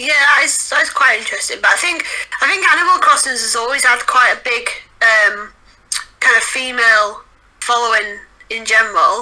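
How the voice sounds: With a Yorkshire accent, the voice has a bright, sharp tone, ordinary pitch variation, and a moderate pace. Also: woman, fairly high pitch for a woman. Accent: Northern English, Yorkshire.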